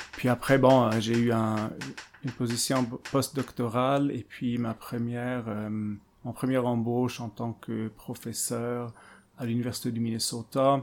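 This man speaks at a fairly slow pace and a medium pitch. His intonation is monotone and flat. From Switzerland. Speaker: political theory professor. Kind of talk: interview. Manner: halting, many repetitions and fillers.

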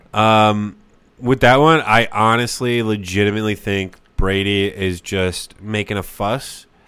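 A man with an unremarkable speaking voice, fairly low pitch and fairly even intonation. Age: 20s. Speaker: podcast co-host. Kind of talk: casual chat. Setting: home kitchen studio.

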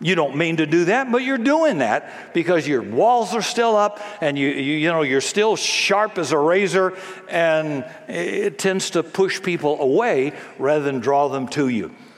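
Over noticeable background noise, a man with a high pitch speaks at a fairly slow pace, using very wide pitch swings and very even loudness. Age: 70s. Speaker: pastor. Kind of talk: sermon. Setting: church. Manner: animated.

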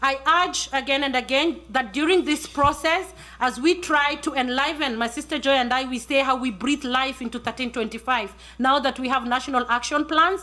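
A woman speaks in a high, raised, projected voice. Her pace is moderate and her pitch varies in an ordinary way. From Kenya. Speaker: journalist. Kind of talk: panel talk.

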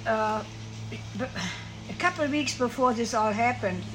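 Noticeable background noise mixed with audible echo from the room. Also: woman. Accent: German. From Germany, Siegen (Westphalia). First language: German. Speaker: war survivor. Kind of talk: interview, personal storytelling. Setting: at a ranch home. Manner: halting.

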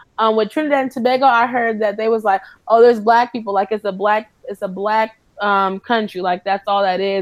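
A woman with an ordinary speaking voice talks fairly quickly at a fairly high pitch, her intonation fairly even. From moved around US (Iowa, New York, Kentucky); military family. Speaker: former study abroad student. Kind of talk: casual interview.

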